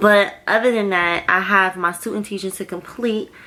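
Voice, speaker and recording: A woman speaks in an unremarkable speaking voice at a moderate pace, with fairly even intonation. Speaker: vlogger and grad student. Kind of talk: casual vlog monologue.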